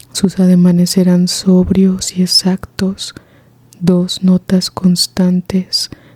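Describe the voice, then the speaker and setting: Every word here is whispered. The delivery is very slow. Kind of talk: reading aloud from a magazine.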